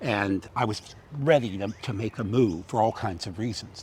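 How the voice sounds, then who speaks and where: This man has an American accent and a fairly low pitch. His pitch varies in an ordinary way. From California, US. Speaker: theatre director and acting coach. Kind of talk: interview conversation. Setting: outdoors by a harbour. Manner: loud; animated.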